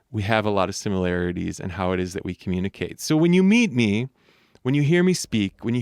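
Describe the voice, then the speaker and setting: A man's lively intonation, dry and close with no echo, over a quiet background. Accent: Midwestern. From US Midwest, Michigan. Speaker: singer and voice coach, podcast host. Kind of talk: solo podcast talk.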